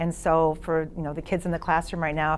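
A woman speaks at a fairly quick pace with a fairly low pitch. There is light background noise. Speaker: teacher sharing her experience. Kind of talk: interview answer. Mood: earnest, emotional personal story.

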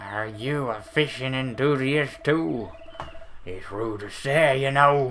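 Against clear background noise, a put-on character voice speaks at a fairly slow pace in a low-to-middle pitch. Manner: overdone.

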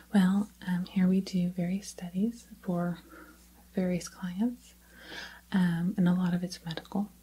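Soft-spoken and gentle in tone, a woman talks at a very slow pace. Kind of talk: soft role-play talk to viewer. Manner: soft-spoken, gentle, close ASMR voice.

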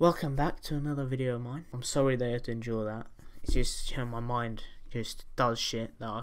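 A man talks at a fairly quick pace. His intonation is fairly even. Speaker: reaction video creator. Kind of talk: casual vlog chat. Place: home room.

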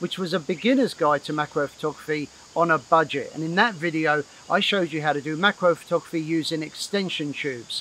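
With ordinary pitch variation, a man talks at a fairly quick pace in a dry recording with no echo and light background noise. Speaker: photography teacher. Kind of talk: tutorial. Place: garden.

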